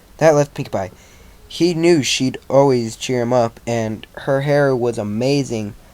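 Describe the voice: Unadorned reading out loud.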